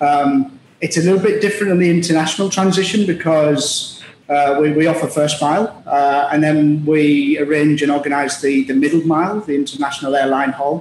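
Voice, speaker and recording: A man with a fairly high voice talks at a fairly quick pace, his loudness very even and his intonation fairly even. Audible room echo and light background noise are present. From Middlesbrough, northeast England; northeast England. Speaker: logistics executive; guest. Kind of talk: interview. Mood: relaxed, conversational. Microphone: video call.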